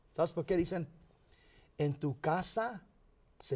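In a very clean recording with a silent background, a man speaks fairly slowly in a dark, mellow, somewhat breathy tone. His intonation is lively. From Los Angeles County, California (San Fernando), Mexican parents. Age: 50s. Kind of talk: interview.

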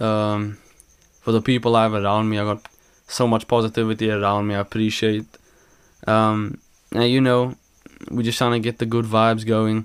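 Monotone, flat intonation marks this man's medium-pitched voice, at a moderate pace with long, frequent pauses. The recording is very clean, with a silent background. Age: 20s. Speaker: podcast co-host. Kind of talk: casual chat. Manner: halting.

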